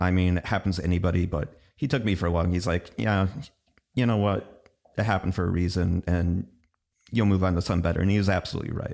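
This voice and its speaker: Very fast speech with an American accent, fairly even intonation and very even loudness. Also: man, very deep, low pitch for a man. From US Midwest, Oshkosh, Wisconsin. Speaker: video game translator. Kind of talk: interview. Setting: studio.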